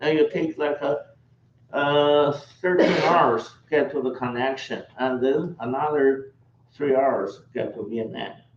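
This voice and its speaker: There is noticeable background noise as a man speaks with a fairly high pitch. He goes at a very slow pace with ordinary pitch variation. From China. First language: Chinese. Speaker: tour operator. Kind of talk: travel orientation presentation.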